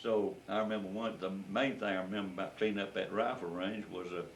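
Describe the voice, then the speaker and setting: A man with a Southern US accent, fairly low in pitch, with audible room echo. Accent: Southern US (Georgia). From US South, rural Georgia. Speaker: war veteran. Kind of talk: oral history interview. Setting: at home. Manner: halting.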